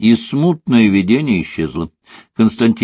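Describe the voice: Plain reading aloud with lively intonation comes through against a quiet background.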